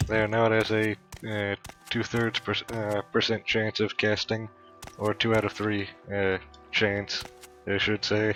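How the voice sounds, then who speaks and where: Music plays in the background as a man speaks at a fairly slow pace. His fairly low voice stays monotone and flat. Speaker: gaming youtuber. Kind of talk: let's play commentary. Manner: halting, many fillers.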